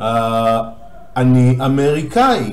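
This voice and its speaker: Audible room echo surrounds a man speaking at a medium pitch. He talks with an Israeli accent. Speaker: language teacher. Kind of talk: tutorial.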